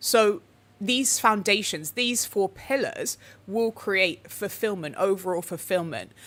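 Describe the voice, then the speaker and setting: A woman talks at a medium pitch and a fairly slow pace, with lively intonation, in a plain, everyday voice. The recording is very clean, with a silent background. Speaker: spiritual teacher, channel host. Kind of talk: live stream talk. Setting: livestream with chat.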